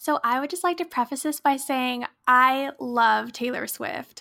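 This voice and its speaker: In a very clean recording with a silent background, a woman with an American accent speaks at a fairly slow pace in a high pitch, her raised, projected voice bright and sharp in tone, with fairly even intonation. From Pacific Northwest, US (near Seattle). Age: 20s. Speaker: podcast co-host, college student. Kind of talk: casual chat.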